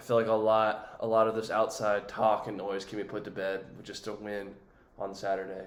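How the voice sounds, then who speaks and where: A man's voice with audible room echo. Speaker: college football podcast host. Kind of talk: casual sports commentary. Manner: hesitant, many fillers.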